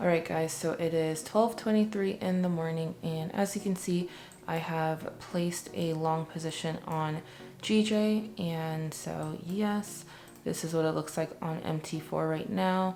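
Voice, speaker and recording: A woman's fairly low-pitched voice at a fairly slow pace, fairly even intonation, with music in the background. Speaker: forex trader and video creator. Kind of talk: screen-share tutorial. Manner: casual, filler-heavy.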